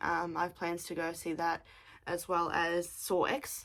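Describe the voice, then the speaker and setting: Here a woman speaks with an Australian accent. Her pitch is fairly low and her pace fairly slow. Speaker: craft podcaster. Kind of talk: casual chat.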